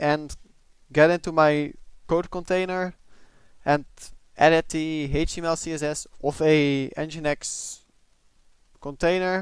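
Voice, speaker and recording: A man with a fairly high pitch, a flat monotone delivery and a non-native accent, at a very slow pace with long, frequent pauses. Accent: noticeable non-native. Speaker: tech hobbyist. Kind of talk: casual tech review talk.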